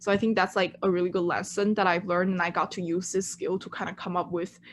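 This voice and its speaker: A woman with a Chinese accent speaks at a fairly quick pace. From China. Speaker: intern. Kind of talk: presentation.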